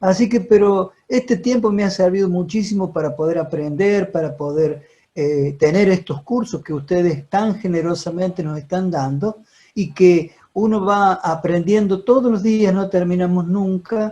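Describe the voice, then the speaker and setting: Speaking at a fairly slow pace, a man uses a high voice with a dark, mellow tone and ordinary pitch variation. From Argentina, Córdoba. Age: 70s. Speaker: deacon. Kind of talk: question and answer comments on video call. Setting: video call.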